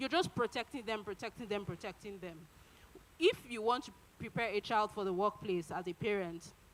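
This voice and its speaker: Noticeable background noise sits behind a woman who talks fairly quickly at a medium pitch with ordinary pitch variation. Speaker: conference speaker. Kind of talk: conference talk. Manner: halting, many fillers.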